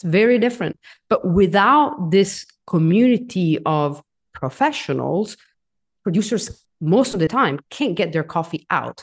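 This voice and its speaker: In a non-native accent, a woman talks at a moderate pace and medium pitch, with very wide pitch swings, big swings in loudness and long, frequent pauses, against a quiet background. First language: not English. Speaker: coffee consultant and educator. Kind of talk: interview. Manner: halting, repeats words.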